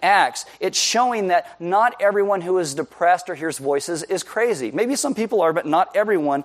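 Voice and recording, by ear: Reading aloud in a natural voice with lively intonation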